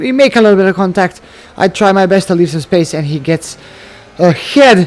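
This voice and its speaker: This man has a non-native accent and a high voice. He talks at a moderate pace over noticeable background noise. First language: not English. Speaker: gaming commentator. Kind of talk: video game commentary. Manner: halting.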